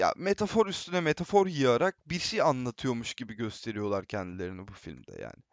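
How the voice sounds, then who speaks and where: With hardly any pauses, a man talks in very wide pitch swings and big swings in loudness. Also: medium pitch for a man, moderate pace. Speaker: film student. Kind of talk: casual discussion.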